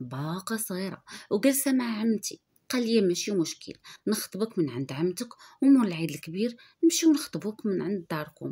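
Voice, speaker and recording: A woman speaks at a moderate pace in a dark, mellow, somewhat breathy voice. Her pitch swings very widely. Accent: Moroccan. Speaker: YouTube storyteller. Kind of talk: first-person storytelling.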